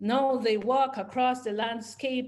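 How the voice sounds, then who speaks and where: A woman's voice with fairly even intonation. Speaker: poet and historian. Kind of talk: poetry reading. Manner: rhythmic, incantatory.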